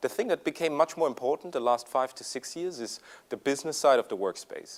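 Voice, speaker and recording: With a slight German accent, the speech runs at a very fast pace with lively intonation. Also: man. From Germany. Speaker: tech executive presenter. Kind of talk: conference presentation. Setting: stage with audience. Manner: hesitant, many fillers.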